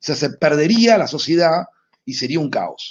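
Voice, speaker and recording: The speaker is a man. His voice sits fairly high in pitch. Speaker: sociology lecturer. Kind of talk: online class lecture.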